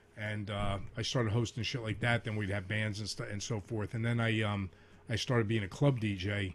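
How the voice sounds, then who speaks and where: With fairly even intonation and a somewhat breathy sound, a man speaks at a moderate pace in a fairly low voice. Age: middle-aged. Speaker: comedian and DJ. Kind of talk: casual chat. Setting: studio.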